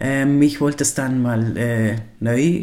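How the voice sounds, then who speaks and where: A man speaks in a medium pitch with a dark, mellow tone. His intonation stays fairly even. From Liechtenstein. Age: 40s. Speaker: podcaster. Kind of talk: personal monologue. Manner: halting, many fillers.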